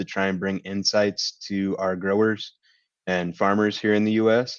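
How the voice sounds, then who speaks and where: In a dry, close sound with no echo and a quiet background, a man speaks with an American accent. His pitch is fairly low, his pace fairly slow, and his intonation monotone and flat. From Kentucky, US. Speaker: agribusiness sustainability lead. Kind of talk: webinar presentation.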